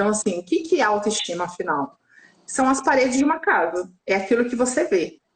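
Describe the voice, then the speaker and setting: Very wide pitch swings from a woman talking at a moderate pace. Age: 40s. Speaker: sex coach. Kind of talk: casual chat. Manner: animated.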